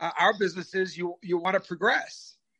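Raised and projected, a man's high-pitched voice with an American accent has a bright, sharp tone and a fairly quick pace, recorded with a dry, close sound and no echo. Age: 50s. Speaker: restaurateur. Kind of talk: interview. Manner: animated.

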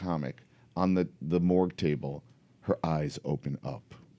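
Recorded very cleanly against a silent background, a man with a New York accent speaks at a fairly slow pace. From New York City, Upper West Side Manhattan. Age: 40s. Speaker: comic book artist and writer. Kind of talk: casual chat. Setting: studio.

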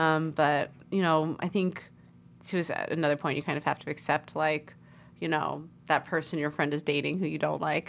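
A woman with an American accent speaks at a very deep, low pitch with vocal fry and a monotone, flat intonation at a moderate pace. The recording is very clean, with a silent background. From US Northeast (New York and Connecticut). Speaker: storyteller guest. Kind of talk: casual interview, personal story.

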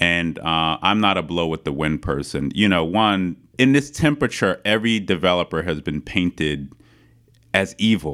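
A man with a New York accent talks in a very deep, low pitch. His intonation is lively and his pace moderate. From Queens, New York City. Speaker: city council member and political candidate. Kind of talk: interview.

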